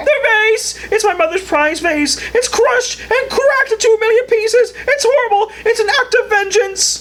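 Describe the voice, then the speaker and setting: A cartoonish character voice at an extremely high pitch comes over clear background noise. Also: moderate pace. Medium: puppet. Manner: frantic, stammering.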